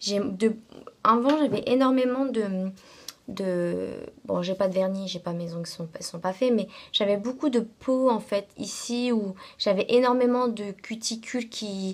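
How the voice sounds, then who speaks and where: This woman's fairly high voice shows ordinary pitch variation at a very slow pace. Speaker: beauty vlogger. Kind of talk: casual product review vlog. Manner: hesitant, many fillers.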